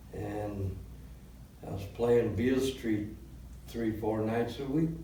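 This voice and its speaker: A man's somewhat breathy, dark, mellow voice at medium pitch, fairly even in intonation, very slow, with audible room echo. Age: 70s. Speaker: blues musician and songwriter. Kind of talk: interview. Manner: halting, with fillers.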